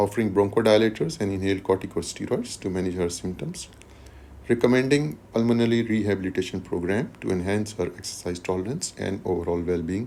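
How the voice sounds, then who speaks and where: A man's fairly low voice with a dark, mellow tone, at a very fast pace with ordinary pitch variation. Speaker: medical exam tutor. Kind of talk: tutorial.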